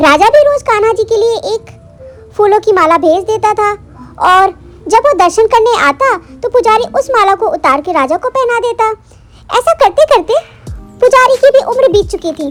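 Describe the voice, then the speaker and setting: A woman with an extremely high voice speaks at a moderate pace, with long, frequent pauses and faint music in the background. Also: lively intonation. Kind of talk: devotional storytelling. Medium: read story.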